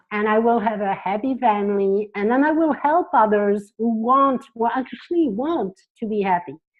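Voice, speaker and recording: With a French accent, a woman speaks at a moderate pace in a fairly high pitch and lively intonation. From France. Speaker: psychotherapist. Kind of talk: interview.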